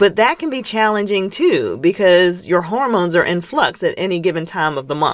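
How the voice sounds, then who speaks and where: The tone is animated, with lively intonation. The speaker moves at a fairly quick pace with hardly any pauses. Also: woman, medium pitch for a woman. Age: 40s. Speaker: podcast host. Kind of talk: solo podcast monologue.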